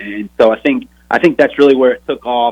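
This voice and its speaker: A man talks with a slight Texan accent. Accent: Texas accent, slight twang. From Texas. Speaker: former college football player, podcast host. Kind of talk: interview.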